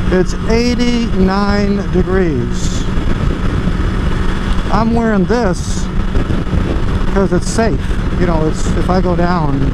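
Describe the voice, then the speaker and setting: Loud noise fills the background. The speaker pauses often and at length, in a dry room with no echo. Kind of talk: casual vlog chat. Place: motorbike. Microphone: helmet.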